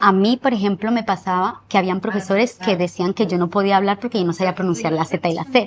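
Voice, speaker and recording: A woman speaks at a fairly quick pace with hardly any pauses. Her pitch sits in the medium range, with ordinary variation. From Colombia, Manizales; moved to Spain at 9. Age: 30s. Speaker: interviewee telling life story. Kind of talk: interview testimony.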